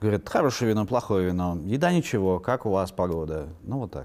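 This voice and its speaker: On a very clean recording with a silent background, a man speaks at a fairly quick pace, his dark, mellow voice fairly low in pitch. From Siberia, Russia (Irkutsk, Yakutsk). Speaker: novelist and publisher. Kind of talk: interview.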